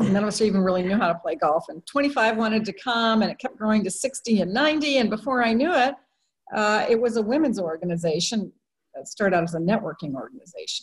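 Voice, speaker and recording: A somewhat breathy woman speaks at a very fast pace and fairly high pitch with lively intonation. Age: 60s. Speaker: attorney and social entrepreneur. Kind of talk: interview.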